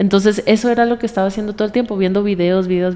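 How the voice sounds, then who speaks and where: Fairly even intonation marks a woman's speech over noticeable background noise. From Colombia. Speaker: singer. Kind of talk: interview.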